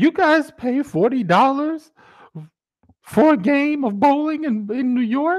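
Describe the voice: This is a put-on character voice, high-pitched and squeaky. It moves at a fairly slow pace.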